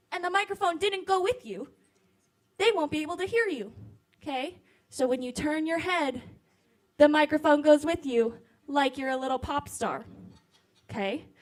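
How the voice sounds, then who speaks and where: A woman's loud, high-pitched voice at a moderate pace, with lively intonation and long, frequent pauses. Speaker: program organizer. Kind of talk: event hosting. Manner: animated.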